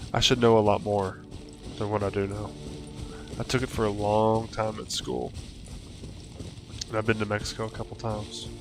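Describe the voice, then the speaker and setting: A man with a slight Southern US accent, fairly low in pitch, relaxed in tone and fairly even in intonation, at a moderate pace over music in the background. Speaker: gaming streamer. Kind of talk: live gameplay commentary. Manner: casual, relaxed.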